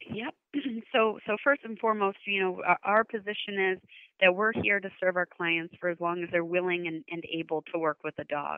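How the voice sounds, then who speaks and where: Her medium-pitched voice shows ordinary pitch variation as this woman speaks at a moderate pace. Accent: American. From United States. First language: English (Portuguese weaker). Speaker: nonprofit marketing executive. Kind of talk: interview.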